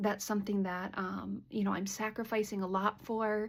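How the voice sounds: At medium pitch, a woman speaks at a moderate pace with vocal fry and little pitch movement.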